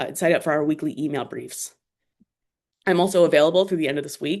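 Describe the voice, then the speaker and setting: A very fast woman's voice, very deep and low in pitch, with fairly even intonation over a quiet background. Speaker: report presenter. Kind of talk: webinar presentation.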